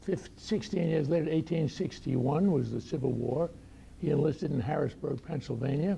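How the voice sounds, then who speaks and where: With an American accent, a man talks at a moderate pace and a fairly high pitch over noticeable background noise. His loudness is very even and his pitch varies in an ordinary way. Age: 90s. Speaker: retired doctor and war veteran. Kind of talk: personal talk to audience. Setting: luncheon talk with audience.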